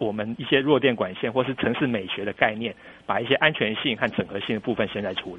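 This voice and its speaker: A man at medium pitch talking at a very fast pace. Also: ordinary pitch variation. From Taiwan. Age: young. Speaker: public works official. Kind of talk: radio interview.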